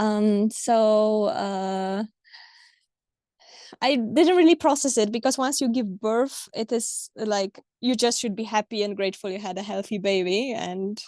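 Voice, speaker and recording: A woman with a Polish accent speaks at a fairly slow pace in a fairly high, dark and mellow voice with ordinary pitch variation against a quiet background. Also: dry, close sound with no echo. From Poland. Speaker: mother sharing birth stories. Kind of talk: interview conversation. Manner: hesitant, many fillers.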